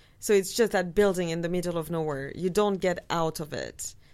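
A woman's fairly low voice in a French accent on a very clean recording with a silent background. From France. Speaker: film enthusiast guest. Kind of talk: casual chat; trivia clue reading.

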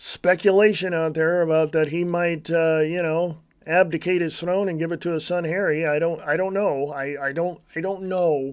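A man with an American accent speaks at a moderate pace in a high voice, his intonation flat and monotone. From United States. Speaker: political podcast host. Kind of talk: solo commentary monologue. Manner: casual, halting with fillers.

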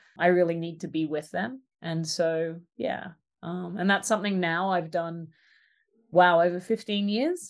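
This woman speaks with an Australian accent at a fairly slow pace. Her pitch is fairly low and her intonation fairly even. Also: quiet background. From rural Australia. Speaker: social design ethnographer and artist. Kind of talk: casual interview conversation.

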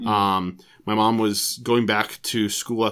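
In a General American accent, a man speaks at a fairly low pitch. His intonation is monotone and flat, on a very clean recording with a silent background. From Colorado (Broomfield). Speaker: parish director of religious education. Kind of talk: casual interview. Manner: halting, many fillers.

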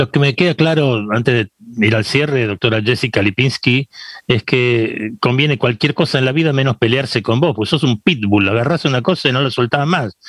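At a moderate pace, a man with a Rioplatense accent speaks at a medium pitch with ordinary pitch variation and very even loudness, in a dry, close sound with no echo. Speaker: radio host. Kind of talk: interview.

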